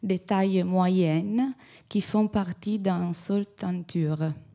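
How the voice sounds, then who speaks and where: A dark, mellow tone carries an Italian accent at a very slow pace with ordinary pitch variation. The recording is very clean, the background silent. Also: woman. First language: Italian (speaking French). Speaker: textile conservator. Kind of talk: conference talk read aloud. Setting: conference podium. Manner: halting.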